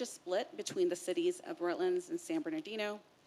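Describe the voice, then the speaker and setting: This woman's voice is loud. Her pitch swings very widely. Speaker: agency staff presenter. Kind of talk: formal staff presentation. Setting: public board meeting.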